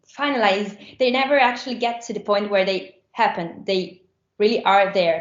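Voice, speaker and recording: At a moderate pace, a woman speaks with an Italian accent. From Rome, Italy. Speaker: musician. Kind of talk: interview. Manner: halting.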